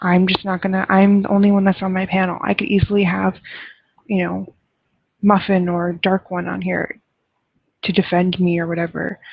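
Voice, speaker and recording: A soft-spoken woman talks in a medium pitch with monotone, flat intonation. She leaves long, frequent pauses. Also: moderate pace. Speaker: livestream host. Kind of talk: casual chat.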